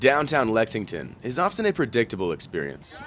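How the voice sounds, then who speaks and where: With music in the background, a man with an American accent speaks in a playful tone, his pitch swinging very widely. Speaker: college TV news reporter. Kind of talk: TV news broadcast reporting. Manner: light, playful.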